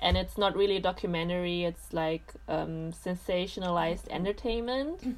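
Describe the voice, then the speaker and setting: With a German accent, a woman talks at a moderate pace with hardly any pauses. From Germany. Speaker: podcast guest. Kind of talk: casual chat.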